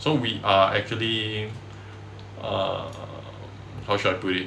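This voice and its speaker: In a strong Singaporean accent, a man talks at a fairly slow pace and a fairly low pitch, with audible room echo and noticeable background noise. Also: fairly even intonation. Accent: thick Singaporean. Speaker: indie game developer streamer. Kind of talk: casual dev livestream chat. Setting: livestream on camera.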